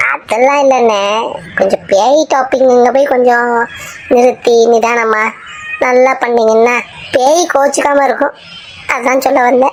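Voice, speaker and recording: A cartoonish character voice that sounds female speaks fairly slowly at a fairly high pitch, with clear background noise behind it. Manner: chatty, teasing, colloquial.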